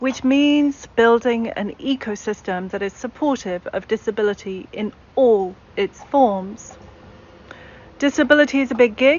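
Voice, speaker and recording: At a fairly slow pace, a woman with a British accent speaks at a fairly high pitch with ordinary pitch variation. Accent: British accent, retained. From English Midlands. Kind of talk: panel talk.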